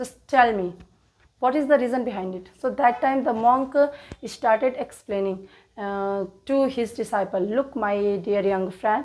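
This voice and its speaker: A woman talks at a fairly slow pace in an Indian accent, her pitch fairly high with ordinary variation. The recording is very clean, with a silent background. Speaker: English teacher. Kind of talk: read story for English learners. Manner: hesitant, many fillers.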